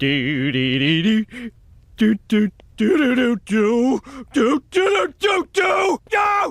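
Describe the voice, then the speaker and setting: Done as a cartoonish character voice, the speech comes at a very slow pace and a fairly high pitch. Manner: loud, blustering.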